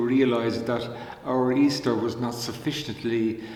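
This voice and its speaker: Audible room echo and noticeable background noise surround speech delivered at a fairly slow pace. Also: man. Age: 80s. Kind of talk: spiritual reflection talk. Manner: halting, many fillers.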